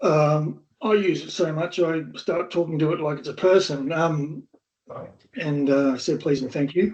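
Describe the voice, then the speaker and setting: At a fairly slow pace, a man talks in a fairly high pitch with ordinary pitch variation. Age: 60s. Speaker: AI consultant. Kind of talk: casual chat. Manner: halting.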